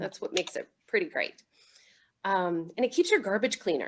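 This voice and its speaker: A woman's ordinary speaking voice at a medium pitch. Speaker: city solid waste and recycling staff. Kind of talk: presentation at online neighborhood meeting.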